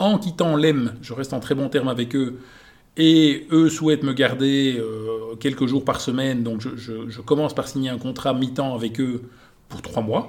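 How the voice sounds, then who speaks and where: An ordinary speaking voice: a man at medium pitch, with ordinary pitch variation and a fairly slow pace. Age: 40s. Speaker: entrepreneur. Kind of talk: interview.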